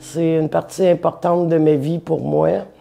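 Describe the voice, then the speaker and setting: Fairly low female voice, dark and mellow in tone. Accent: Quebec. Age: 60s. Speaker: interviewee telling life story. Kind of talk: personal testimony. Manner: hesitant, with fillers.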